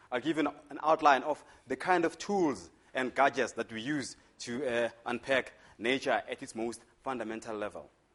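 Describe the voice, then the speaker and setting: A man's medium-pitched voice with ordinary pitch variation and a strong Zulu accent. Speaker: physics lecturer. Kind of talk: lecture. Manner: fast.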